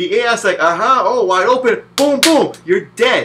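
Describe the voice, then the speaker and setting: Raised and projected, a man's voice carries an animated tone and lively intonation in an American accent. He keeps a moderate pace over noticeable background noise. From New Jersey, US. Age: 20s. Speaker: video game reviewer. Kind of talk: casual spoken game review.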